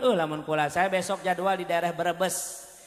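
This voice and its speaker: A man with a Bogor accent talks at a moderate pace. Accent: Sundanese (Bogor). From West Java, Bogor. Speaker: Islamic preacher. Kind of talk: comedic sermon.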